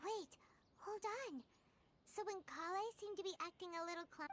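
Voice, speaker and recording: A put-on character voice comes out squeaky at an extremely high pitch. It moves at a moderate pace. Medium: video game.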